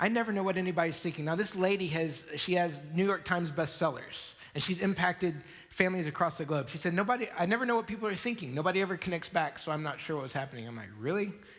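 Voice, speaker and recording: Over audible room echo, a man speaks very fast at a high pitch with ordinary pitch variation. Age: 40s. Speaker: pastor. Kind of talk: sermon. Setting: church.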